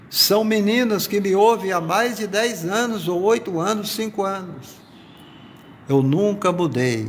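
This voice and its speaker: A man at a very slow pace with lively intonation and audible room echo. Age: 60s. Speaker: pastor. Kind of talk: sermon. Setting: live stream from workplace.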